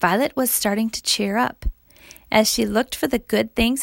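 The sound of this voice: This unforced reading voice has lively intonation.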